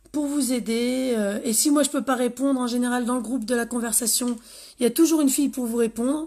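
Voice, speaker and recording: On a very clean recording with a silent background, a woman with a high pitch speaks at a fairly quick pace in a monotone, flat intonation. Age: 30s. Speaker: nail technician and beauty sales rep. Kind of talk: live-stream sales pitch. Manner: casual, hesitant.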